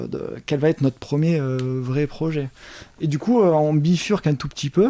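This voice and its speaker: The tone is dark and mellow, in a southern French accent. Pitch variation is ordinary and the pace moderate. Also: man, fairly high pitch for a man. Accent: southern French, sing-song. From Montpellier, southern France. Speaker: entrepreneur. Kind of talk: interview answer.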